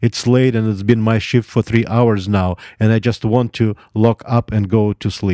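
A plain reading-aloud voice with fairly even intonation.

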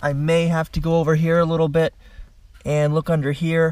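His pitch is high, and he talks at a moderate pace. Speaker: car DIY vlogger. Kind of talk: tutorial. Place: garage. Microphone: phone near.

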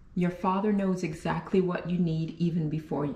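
A woman speaks at a moderate pace in a dark, mellow tone, somewhat breathy. Her pitch is fairly low, with fairly even intonation. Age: 40s. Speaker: faith vlogger; vlogger sharing faith. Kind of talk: personal vlog talk. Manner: casual, with many fillers. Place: kitchen. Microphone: phone near.

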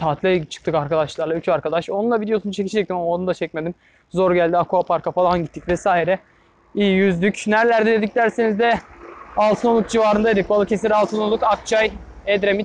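A man's high-pitched voice at a very fast pace, fairly even in intonation, dry with no echo, over light background noise. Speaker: cycling vlogger. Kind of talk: casual vlog chat. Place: bicycle. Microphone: phone near.

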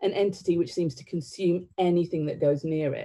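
The voice has a dark, mellow tone against a quiet background. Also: woman. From northern England (County Durham), born in Sri Lanka. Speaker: theatre director. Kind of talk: public talk. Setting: online livestream. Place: home room.

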